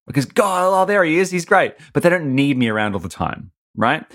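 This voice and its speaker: A man with an Australian accent talks at a very fast pace, his pitch swinging very widely, on a very clean recording with a silent background. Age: 30s. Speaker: comedian and podcaster. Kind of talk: interview.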